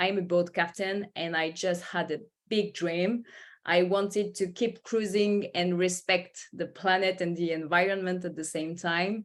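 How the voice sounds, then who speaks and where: In a French accent, a woman speaks fairly slowly at a medium pitch. Her intonation stays monotone and flat. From France. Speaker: company founder and boat captain. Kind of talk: panel webinar discussion.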